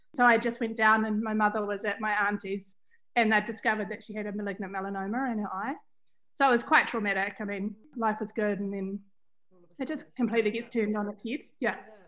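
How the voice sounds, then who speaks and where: A woman with a New Zealand accent, fairly high pitch, bright and sharp tone, very fast pace and fairly even intonation, over a quiet background. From New Zealand, Central Otago. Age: 40s. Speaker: fashion brand founder. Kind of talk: interview. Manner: hesitant, many fillers.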